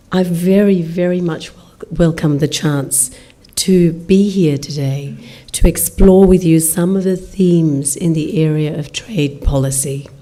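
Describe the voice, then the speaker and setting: A woman with an Australian accent speaks fairly slowly at a fairly low pitch, with audible room echo. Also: fairly even intonation, big swings in loudness. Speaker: diplomat. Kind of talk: formal speech. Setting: lecture hall with audience. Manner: formal.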